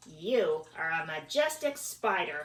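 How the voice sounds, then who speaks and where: Using a put-on character voice, a woman speaks fairly slowly at medium pitch with very wide pitch swings. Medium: read story. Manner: slow, kindly.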